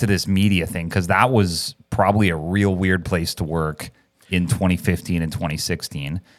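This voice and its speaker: In a Canadian accent, a man with a very deep, low pitch talks at a moderate pace on a very clean recording with a silent background. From Canada. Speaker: chiropractor and podcast host. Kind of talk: casual chat. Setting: podcast studio.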